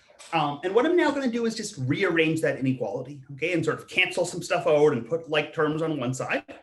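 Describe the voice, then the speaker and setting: A man talks with lively intonation at a fairly high pitch. Audible room echo surrounds his voice. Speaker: math professor. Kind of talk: online math lecture. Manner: repeats words, self-corrects.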